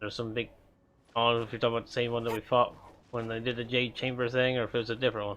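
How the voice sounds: Very fast speech from a man at medium pitch, with a fairly bright tone and little pitch movement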